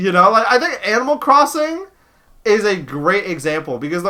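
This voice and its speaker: A raised, projected voice carries a bright, sharp tone. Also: man. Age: 30s. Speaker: streamer. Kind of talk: casual chat. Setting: live stream. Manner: casual, halting with repetitions.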